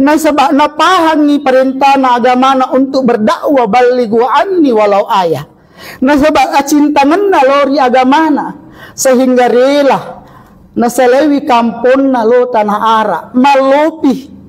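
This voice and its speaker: A man with a South Sulawesi accent speaks at a fairly slow pace in an extremely high pitch with ordinary variation. Noticeable background noise runs underneath. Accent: Bugis, Sidenreng Rappang dialect. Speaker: Islamic preacher. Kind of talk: religious sermon to a congregation. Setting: mosque.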